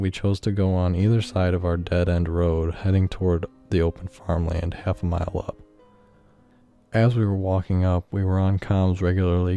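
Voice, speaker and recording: Over music in the background, the speech moves at a moderate pace in a monotone, flat intonation. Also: man. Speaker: amateur horror narrator. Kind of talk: first-person horror story narration.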